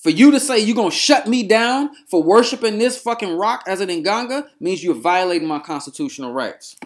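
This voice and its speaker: Lively intonation at a fairly quick pace, with hardly any pauses. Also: man, high pitch for a man. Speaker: spiritual practitioner and YouTuber. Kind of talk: angry rant to camera. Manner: loud, yelling at times.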